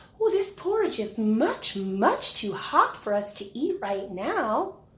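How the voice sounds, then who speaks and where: A put-on character voice from a woman, pitched high and delivered fairly slowly. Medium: read story.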